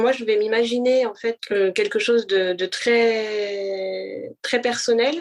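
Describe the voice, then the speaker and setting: Very slow speech from a woman, fairly high in pitch, with fairly even intonation. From France, Paris. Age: 30s. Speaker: blind guest, wellness association founder. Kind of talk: interview testimony. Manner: halting, many hesitations.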